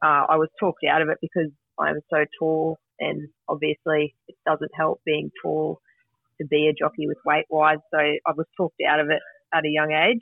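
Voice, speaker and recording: Speaking at a moderate pace, a woman uses a rural Australian accent. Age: 30s. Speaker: jockey and mine worker. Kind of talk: radio interview.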